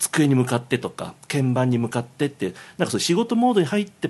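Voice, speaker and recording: A man's fairly high pitch with very wide pitch swings at a fairly quick pace. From Tokyo, Japan. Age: 50s. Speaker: game music composer. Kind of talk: casual chat. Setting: Japanese restaurant.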